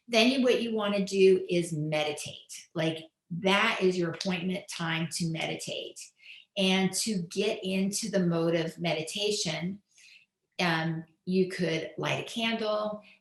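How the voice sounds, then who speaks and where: Her pitch is medium, her intonation fairly even and her pace fairly slow. The woman has a plain, everyday voice. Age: 60s. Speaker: author and lifestyle expert. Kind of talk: interview.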